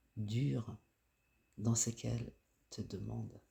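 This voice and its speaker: A man talks at a very slow pace, somewhat breathy, with a dark, mellow tone. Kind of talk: guided self-care reflection voice-over. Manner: slow, soft-spoken.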